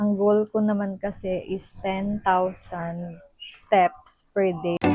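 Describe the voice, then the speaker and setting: Music plays in the background as a woman talks at medium pitch. Her delivery is very slow and monotone, with flat intonation. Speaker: vlogger. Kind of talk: casual vlog talk. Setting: at home. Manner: soft-spoken.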